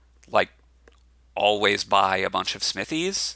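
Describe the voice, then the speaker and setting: Bright and sharp in tone, this man's voice moves through very wide pitch swings. He keeps a moderate pace. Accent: American. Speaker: board game content creator. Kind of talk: solo commentary video, game card review. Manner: casual with many fillers and repetitions.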